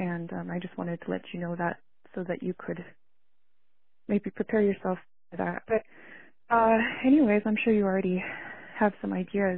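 Loudness swings widely as a woman with a medium pitch talks at a moderate pace, showing ordinary pitch variation and taking long, frequent pauses. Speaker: voicemail caller. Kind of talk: voicemail message. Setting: phone call. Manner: hesitant.

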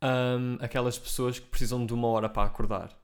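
At medium pitch, a man speaks in a monotone, flat intonation at a moderate pace. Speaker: podcast co-host. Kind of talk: casual chat.

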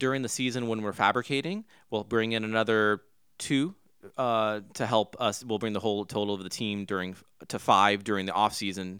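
A man with an American accent and a bright, sharp tone speaks at a fairly low pitch and fairly quick pace with fairly even intonation, recorded very cleanly against a silent background. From Southern California, Huntington Beach. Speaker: race team owner. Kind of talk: interview.

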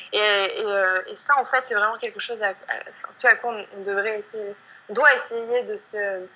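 Over noticeable background noise, a woman with a fairly high pitch speaks at a moderate pace with fairly even intonation and big swings in loudness. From southern France, countryside. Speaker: yoga teacher and blogger. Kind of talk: casual interview. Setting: video call. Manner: halting, many repetitions and fillers.

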